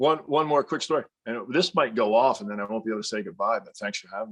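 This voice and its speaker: A man at a medium pitch races along at a very fast pace with lively intonation. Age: 60s. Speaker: comedian. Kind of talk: casual chat. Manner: halting.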